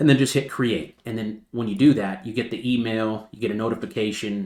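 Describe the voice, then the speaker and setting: A man speaks in an animated tone at medium pitch and a fairly quick pace, with ordinary pitch variation. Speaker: crypto trading channel host. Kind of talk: chart analysis tutorial. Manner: fast.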